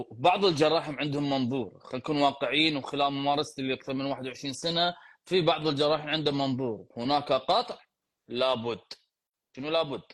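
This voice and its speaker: In a very clean recording with a silent background, a man talks with an ordinary speaking voice. His pitch is fairly high, his pace moderate and his pitch variation ordinary. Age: 40s. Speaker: physiotherapist and podcast host. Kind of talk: live Q&A. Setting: live stream.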